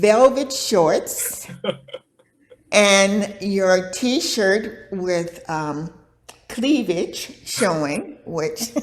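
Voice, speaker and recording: A woman talks with lively intonation. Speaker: yoga teacher. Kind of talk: interview answer.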